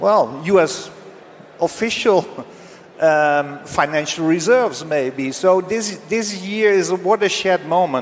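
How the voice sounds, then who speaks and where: There is noticeable background noise as a man speaks fairly slowly. His pitch is high. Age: 60s. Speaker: precious metals expert. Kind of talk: panel discussion. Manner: halting.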